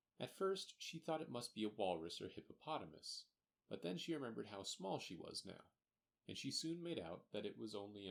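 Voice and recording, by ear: With a quiet background, someone is reading aloud in a natural voice with lively intonation.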